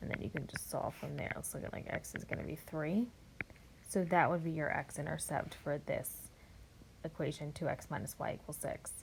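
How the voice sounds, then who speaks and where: A woman speaks in a somewhat breathy voice. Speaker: math teacher. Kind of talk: tutorial.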